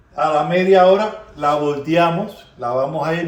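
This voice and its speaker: Speaking at a fairly slow pace in a Cuban accent, the voice keeps a fairly even intonation. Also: man. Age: old. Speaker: home cook. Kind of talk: casual cooking talk to camera.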